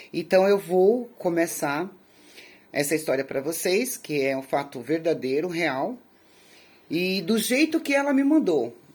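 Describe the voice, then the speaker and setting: A woman with a fairly low pitch speaks at a moderate pace on a very clean recording with a silent background. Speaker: youtuber telling viewers' life stories. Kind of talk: casual address to viewers. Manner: halting, with repetitions.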